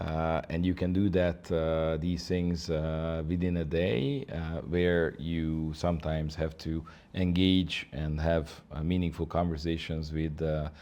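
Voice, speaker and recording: In a Hungarian accent, a man speaks at a very deep, low pitch with a dark, mellow tone. His delivery is monotone and flat at a fairly slow pace, with hardly any pauses. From Hungary. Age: 50s. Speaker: ambassador. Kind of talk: interview. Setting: embassy office. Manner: halting, many fillers.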